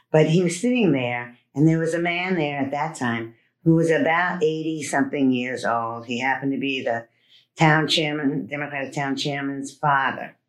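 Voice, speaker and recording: This woman speaks at a moderate pace in a very deep, low pitch with ordinary pitch variation. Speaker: political party chair and podcast host. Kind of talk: interview.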